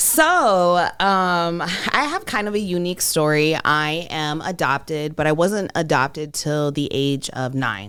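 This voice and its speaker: Speaking at a fairly slow pace with hardly any pauses, a woman with an American accent has a very deep, low pitch on a very clean recording with a silent background. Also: ordinary pitch variation. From Iowa, US Midwest. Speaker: entrepreneur, beauty business owner. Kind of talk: interview, life story.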